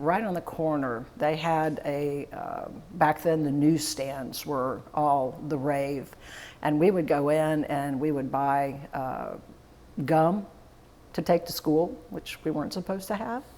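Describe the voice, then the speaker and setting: A woman with a Florida accent speaks very slowly in a very deep, low, dark and mellow voice, with ordinary pitch variation. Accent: Southern US (Florida). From Florida, DeLand. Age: 60s. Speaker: funeral home owner. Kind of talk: oral history interview.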